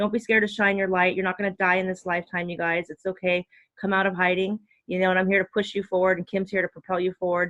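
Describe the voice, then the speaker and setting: Talking at a very fast pace, a woman uses a medium pitch. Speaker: spiritual coach. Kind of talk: casual chat. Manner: animated.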